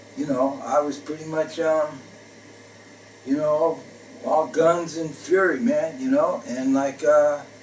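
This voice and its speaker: With an American accent, a man talks very slowly at a fairly high pitch, with ordinary pitch variation, long, frequent pauses and noticeable background noise. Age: 60s. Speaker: retired jazz drummer. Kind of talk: personal storytelling monologue. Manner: hesitant, many fillers.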